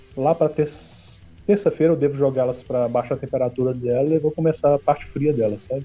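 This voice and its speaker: This man talks at a fairly quick pace in a somewhat breathy voice, fairly high in pitch with ordinary pitch variation. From Minas Gerais, Brazil. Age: 40s. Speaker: homebrewer and beer YouTuber. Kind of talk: casual chat.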